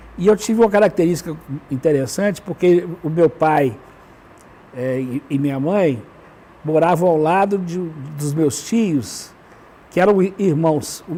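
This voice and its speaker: A man's high voice at a fairly slow pace, with ordinary pitch variation and long, frequent pauses. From Brazil, Belo Horizonte (Minas Gerais). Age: 70s. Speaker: educator and writer. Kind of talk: talk show interview. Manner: halting, with frequent repetitions.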